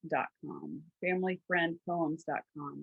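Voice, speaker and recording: A very slow pace and fairly even intonation with a slight Southern US accent. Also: woman. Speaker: podcast co-host, trauma resource platform founder. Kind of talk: casual chat.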